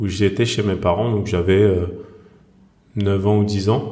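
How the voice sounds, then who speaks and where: Over noticeable background noise and audible room echo, a man with a fairly low voice speaks in a flat monotone. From France, Seine-Saint-Denis (Saint-Ouen, Saint-Denis). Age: 40s. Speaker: author and screenwriter. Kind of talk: podcast interview. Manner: hesitant, many fillers.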